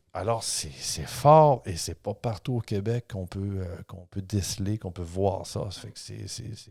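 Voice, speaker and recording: A somewhat breathy, fairly slow voice with big swings in loudness and ordinary pitch variation, in a very clean recording with a silent background. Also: man, fairly low pitch for a man. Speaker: historian and author. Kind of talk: casual podcast discussion.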